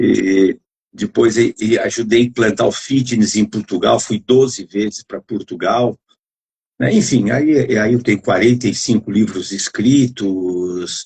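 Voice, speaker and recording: A man speaks at a fairly slow pace in a medium-pitched, somewhat breathy voice with ordinary pitch variation. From Brazil, interior of São Paulo state (Adamantina). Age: 70s. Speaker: physical education professor. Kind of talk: casual chat. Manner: halting.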